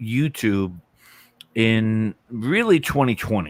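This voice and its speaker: This is a man speaking with a New York accent at a fairly slow pace. The recording is very clean, with a silent background. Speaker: music YouTuber. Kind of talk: casual live-stream chat.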